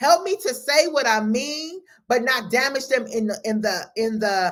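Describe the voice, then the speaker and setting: A woman speaks loudly in a high pitch with lively intonation. Her tone is animated. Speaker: life coach. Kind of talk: motivational talk.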